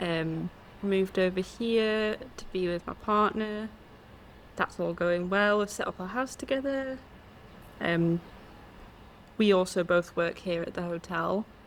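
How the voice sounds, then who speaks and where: Speaking with an English accent, a woman at medium pitch goes at a fairly slow pace with ordinary pitch variation and long, frequent pauses. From England. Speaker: podcast co-host. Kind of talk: casual chat.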